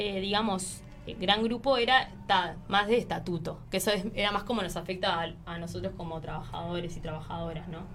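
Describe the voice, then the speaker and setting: At a fairly quick pace, a woman with a medium-pitched voice and lively intonation speaks over music in the background, with audible room echo. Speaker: secondary school teacher and union activist. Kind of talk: interview.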